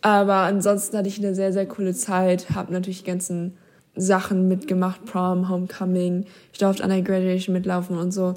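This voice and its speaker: In a very clean recording with a silent background, a woman with a medium-pitched, dark, mellow voice speaks at a fairly quick pace in a monotone, flat intonation. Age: young. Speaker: former exchange student. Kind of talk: personal storytelling. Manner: casual, filler-heavy.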